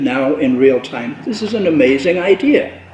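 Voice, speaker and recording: Against noticeable background noise, a man speaks at a moderate pace. His high voice has lively intonation. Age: 70s. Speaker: spiritual author and presenter. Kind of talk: panel discussion. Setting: cultural center with audience.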